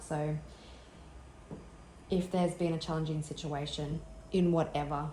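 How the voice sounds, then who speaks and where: A woman speaks at a moderate pace with fairly even intonation. The recording has audible room echo and noticeable background noise. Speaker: tarot reader. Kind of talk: tarot reading.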